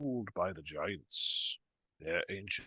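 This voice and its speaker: A man's put-on character voice, fairly low-pitched and fairly slow, against a quiet background. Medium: actual play. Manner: slow, measured, musing with "mm".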